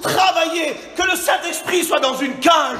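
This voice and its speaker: A man with an extremely high pitch and ordinary pitch variation uses a raised, projected voice over crowd noise in the background and audible room echo. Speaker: preacher. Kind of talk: sermon. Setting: church. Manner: loud; animated.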